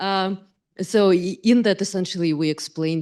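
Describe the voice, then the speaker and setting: With a Russian accent, a woman speaks at a moderate pace in a dark, mellow tone with ordinary pitch variation. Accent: clear Russian. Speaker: AI ethics researcher and government advisor. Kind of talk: panel discussion.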